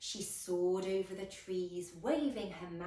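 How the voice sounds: This is a natural reading voice.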